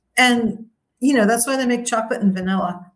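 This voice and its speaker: A woman with an American accent speaks at a very fast pace and a fairly high pitch. Her pitch variation is ordinary, and audible room echo surrounds her voice. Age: 60s. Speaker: retired expat. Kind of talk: interview.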